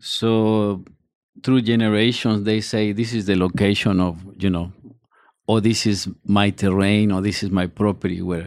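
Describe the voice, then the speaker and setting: A man with a Spanish accent speaks at a fairly low pitch. His pace is moderate and his intonation fairly even. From Mexico (Mexico City, Oaxaca). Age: 50s. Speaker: chef. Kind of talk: interview. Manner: halting.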